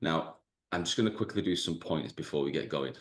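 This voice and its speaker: A man talks with a Mancunian accent and ordinary pitch variation. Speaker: business coach. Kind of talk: webinar presentation. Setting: video call. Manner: dry humor.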